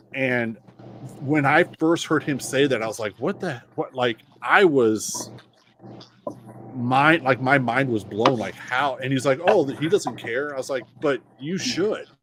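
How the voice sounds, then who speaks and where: A man with a fairly high pitch and ordinary pitch variation speaks fairly slowly, noticeable background noise behind him. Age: 40s. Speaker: podcast guest. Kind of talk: casual chat.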